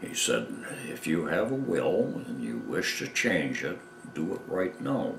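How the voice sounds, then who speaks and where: With an American accent, a man talks at a fairly slow pace amid audible room echo and light background noise. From Michigan. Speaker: war veteran. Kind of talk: interview answer. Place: home room.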